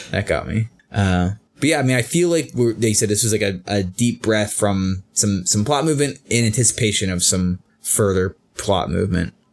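A man with a normal speaking voice talks at a moderate pace with lively intonation and very even loudness, on a very clean recording with a silent background. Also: fairly low pitch for a man. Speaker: podcast co-host. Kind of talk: casual chat. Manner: playful.

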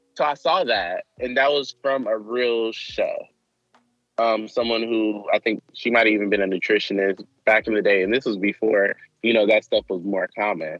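A man with an American accent uses an ordinary speaking voice at a medium pitch, a moderate pace, and ordinary pitch variation. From Michigan. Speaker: activist. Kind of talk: interview. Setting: outdoors in a park.

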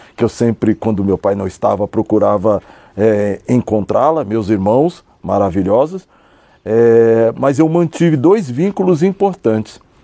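Dark and mellow in tone, a man's fairly low voice moves at a moderate pace with lively intonation. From São Paulo, Brazil (south zone). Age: 50s. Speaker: businessman, cultural incentive projects. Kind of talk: interview. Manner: halting, many repetitions.

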